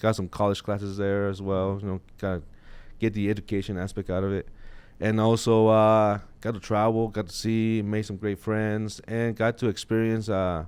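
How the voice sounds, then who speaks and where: With a slight Mexican accent, a man speaks at a moderate pace in a fairly low pitch with monotone, flat intonation. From Mexico (Chihuahua), moved to Colorado at 13. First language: Spanish. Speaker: sheriff's office captain. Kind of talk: interview. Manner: hesitant, many fillers.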